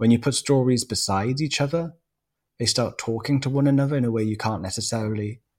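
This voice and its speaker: Somewhat breathy and fairly quick, a man talks with a Welsh accent in a very clean recording with a silent background. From South Wales. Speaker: writer. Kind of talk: interview.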